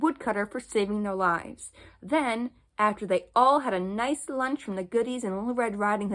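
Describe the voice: The pitch varies in an ordinary way across this plain reading aloud.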